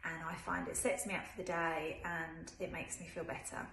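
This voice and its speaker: At a moderate pace, a woman speaks with audible room echo and light background noise. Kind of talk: casual vlog chat. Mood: warm, upbeat, encouraging. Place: kitchen. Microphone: phone near.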